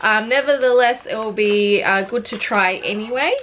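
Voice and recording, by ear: Speaking at a moderate pace in an Australian accent, a woman has a fairly high pitch, ordinary pitch variation and a fairly bright tone.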